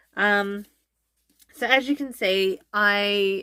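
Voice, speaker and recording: In an Australian accent, a woman speaks with a bright, sharp tone, medium pitch and ordinary pitch variation on a very clean recording with a silent background. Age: 30s. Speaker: family vlogger. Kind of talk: casual chat. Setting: sitting down to camera. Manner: hesitant, many ums.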